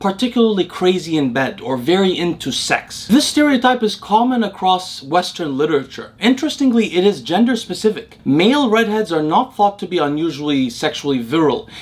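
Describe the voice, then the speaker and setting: Talking at a fairly quick pace, a man makes very wide pitch swings. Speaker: science explainer host. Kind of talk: educational commentary. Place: home room.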